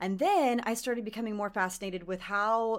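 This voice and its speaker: The speaker sounds animated, with ordinary pitch variation, on a very clean recording with a silent background. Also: woman. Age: 30s. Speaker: beauty journalist. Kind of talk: casual chat.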